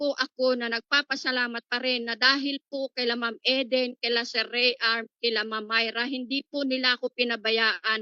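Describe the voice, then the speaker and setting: Her pitch is high for a woman, and her pace is moderate. The woman's intonation stays fairly even. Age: 60s. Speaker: network marketing member. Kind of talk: testimony. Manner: halting.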